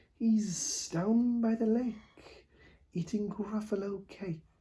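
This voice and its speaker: Very slowly and in a high register, a man performs a put-on character voice. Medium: read story.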